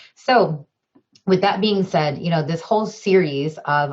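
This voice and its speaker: At a moderate pace, a somewhat breathy voice with an American accent shows ordinary pitch variation. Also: woman. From Chicago suburbs, US Midwest. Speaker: diversity trainer and professor. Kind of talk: webinar presentation. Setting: video call webinar.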